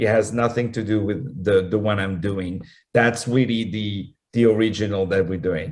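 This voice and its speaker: The speaker has a French accent and talks at a moderate pace with ordinary pitch variation. The background is quiet. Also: man, fairly low pitch for a man. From France (Paris). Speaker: opera singer and actor. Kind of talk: radio interview. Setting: talk radio interview. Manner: halting, many fillers and repeats.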